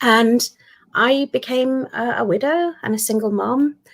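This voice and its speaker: Speaking with a British accent, a woman uses a high pitch with ordinary pitch variation. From UK. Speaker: guest. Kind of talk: testimony.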